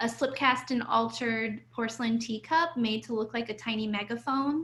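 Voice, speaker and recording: Her tone bright and sharp, a woman with an American accent speaks at a high pitch with fairly even intonation. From Ohio and New York City, US. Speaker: artist. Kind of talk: conversation.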